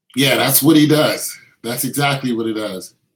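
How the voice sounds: A man with a slightly husky edge speaks at a moderate pace in a medium pitch with ordinary pitch variation.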